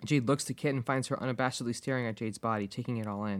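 The passage is read aloud in a natural voice.

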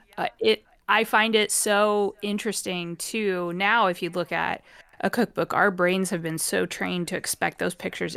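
A woman's unremarkable speaking voice at medium pitch, with fairly even intonation and a dry, close sound with no echo. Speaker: podcast co-host. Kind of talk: casual chat. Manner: chatty, laughs often.

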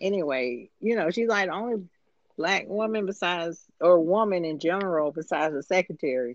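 A woman with an American accent and a normal speaking voice talks at a moderate pace with lively intonation. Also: fairly low pitch for a woman. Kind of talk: casual chat.

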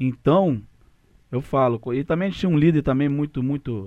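Over a quiet background, a man with a dark, mellow tone speaks at a moderate pace with lively intonation. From Rio de Janeiro, Brazil. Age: 30s. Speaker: former footballer, aspiring coach. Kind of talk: casual interview.

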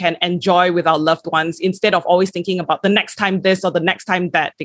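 A woman of medium pitch speaks in an unremarkable speaking voice. Her pace is fairly quick and her intonation fairly even. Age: 20s. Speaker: podcast host. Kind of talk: casual chat.

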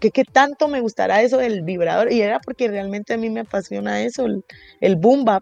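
Her fairly high-pitched voice moves at a fairly quick pace with ordinary pitch variation, as this woman is heard in a dry, close sound with no echo. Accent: Guatemalan. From Guatemala. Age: 20s. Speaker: rapper and singer. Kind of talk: interview.

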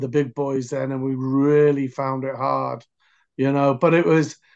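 With a Welsh accent, a man speaks at a fairly high pitch against a quiet background. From Wales, near Cardiff. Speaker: American football coach. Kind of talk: interview. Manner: halting.

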